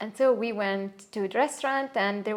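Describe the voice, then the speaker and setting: In a Neapolitan accent, a woman talks at a moderate pace. Her pitch sits in the medium range. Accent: Italian (Neapolitan) accent in English. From Italy, Naples. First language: Italian. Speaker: Italian expat interviewee. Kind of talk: casual interview chat. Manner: hesitant, many fillers.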